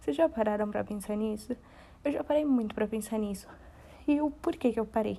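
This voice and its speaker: Speaking at a fairly quick pace broken by long, frequent pauses, a woman has a fairly high, somewhat breathy voice with a dark, mellow tone and lively intonation. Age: 20s. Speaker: podcast host. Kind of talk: casual monologue.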